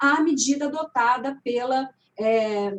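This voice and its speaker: This is a woman's voice. Her pitch is high. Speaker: labour judge and law professor. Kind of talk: online panel debate. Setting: live stream.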